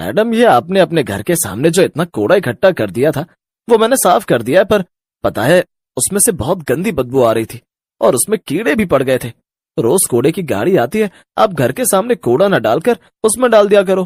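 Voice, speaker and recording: A man puts on a character voice, pitched high. He talks at a fairly quick pace. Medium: read story. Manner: plain, humble speech turning bitter.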